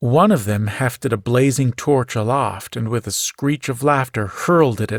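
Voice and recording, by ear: With ordinary pitch variation, a voice reads aloud naturally.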